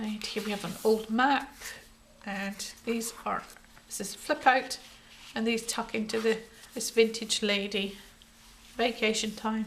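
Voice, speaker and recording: At a fairly slow pace and a fairly high pitch, a woman with a Scottish accent speaks in a flat monotone, with long, frequent pauses and big swings in loudness. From Scotland. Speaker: crafter. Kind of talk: tutorial. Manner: casual.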